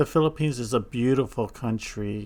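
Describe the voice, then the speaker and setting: A man with a Hawaiian accent and ordinary pitch variation. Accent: Hawaiian American English. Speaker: YouTuber giving a village tour. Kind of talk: narrated video tour. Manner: casual, with hesitations.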